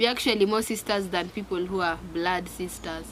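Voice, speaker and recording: Here is a woman with an ordinary speaking voice at medium pitch. She talks at a moderate pace. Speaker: YouTuber. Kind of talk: casual chat.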